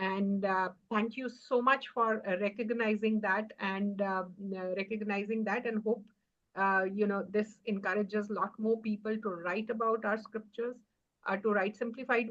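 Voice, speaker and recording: At a moderate pace, a woman with an Indian accent speaks in a fairly high, monotone voice with flat intonation. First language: Hindi. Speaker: author. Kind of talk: award acceptance speech. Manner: halting, many fillers.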